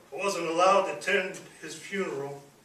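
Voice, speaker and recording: Someone with an American accent talks at a moderate pace with ordinary pitch variation over noticeable background noise. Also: man. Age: 50s. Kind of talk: public speech.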